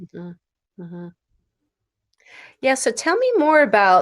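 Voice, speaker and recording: A woman speaks at a fairly slow pace. The recording is very clean, with a silent background. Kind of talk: podcast host interview. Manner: enthusiastic.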